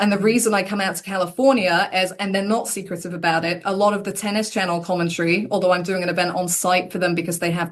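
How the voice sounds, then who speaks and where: A woman talks with an English accent. Her intonation stays fairly even. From England. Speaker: tennis commentator. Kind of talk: interview.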